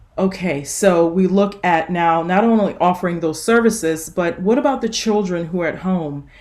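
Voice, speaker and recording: Audible room echo surrounds a woman with a Louisiana accent. She talks at a moderate pace and medium pitch with hardly any pauses. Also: ordinary pitch variation. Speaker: nurse practitioner and author. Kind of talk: conference talk.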